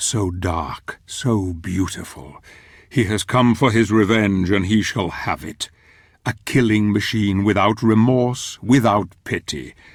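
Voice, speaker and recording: A man speaks in a put-on character voice at a fairly slow pace, his pitch fairly low. The recording is very clean, with a silent background. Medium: video game. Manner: solemn, reflective.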